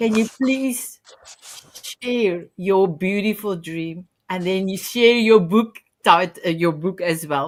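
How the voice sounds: Speaking slowly, a woman with a medium-pitched voice shows ordinary pitch variation.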